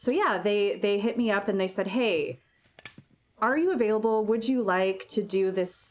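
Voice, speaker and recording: An unremarkable speaking voice from a woman, fairly high-pitched, at a moderate pace, with very even loudness and ordinary pitch variation. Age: 30s. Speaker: burlesque performer. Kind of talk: casual chat.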